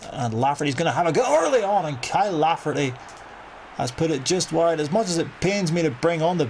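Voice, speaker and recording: Over noticeable background noise, a man with a strong Northern Irish accent talks at a fairly quick pace with ordinary pitch variation. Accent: thick Northern Irish. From Northern Ireland. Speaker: gaming youtuber. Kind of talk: gameplay commentary. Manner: animated.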